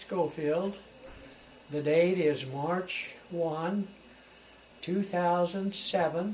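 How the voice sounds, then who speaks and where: With noticeable background noise, a man speaks very slowly in a high pitch, using fairly even intonation and long, frequent pauses. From US West, rural eastern Idaho. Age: 70s. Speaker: elderly man recounting his life story. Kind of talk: oral history interview. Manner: halting, with frequent fillers.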